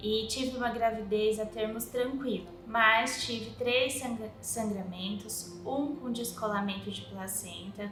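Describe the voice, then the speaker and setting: With music in the background and audible room echo, a woman speaks at a very slow pace with hardly any pauses and fairly even intonation. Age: 20s. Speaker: mother of a child with a rare syndrome. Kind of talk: personal testimony.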